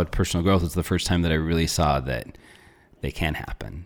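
A man with an American accent speaks with a very deep, low pitch and vocal fry. He talks at a fairly quick pace with ordinary pitch variation. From northern Arizona (small town). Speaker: natural health coach. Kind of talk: interview conversation. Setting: studio.

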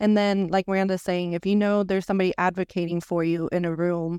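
The speaker talks fairly quickly in a monotone, flat intonation. The recording is very clean, with a silent background. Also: woman, dry, close sound with no echo. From Venezuela. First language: Spanish. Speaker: architect. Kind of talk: casual chat.

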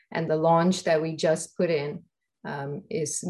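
A woman with a very deep, low pitch and a somewhat breathy voice. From southern India. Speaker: research funding executive and scientist. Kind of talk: interview.

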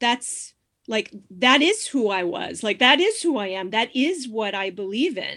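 In an American accent, a woman speaks with a normal speaking voice, a fairly high pitch and a fairly slow pace. The recording is very clean, with a silent background. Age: 50s. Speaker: sex coach and activist. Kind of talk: interview.

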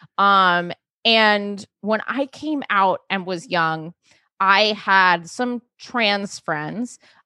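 A woman with an American accent talks at a very slow pace in a medium pitch with ordinary pitch variation. Her tone is bright and sharp, and the sound is dry and close with no echo. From New York City. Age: 30s. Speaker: comedian. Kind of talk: casual chat.

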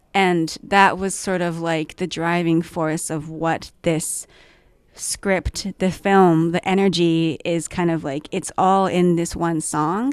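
Against a quiet background, a woman with a Japanese accent speaks at a very slow pace and a fairly low pitch, her intonation fairly even. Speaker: filmmaker and actor. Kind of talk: casual interview.

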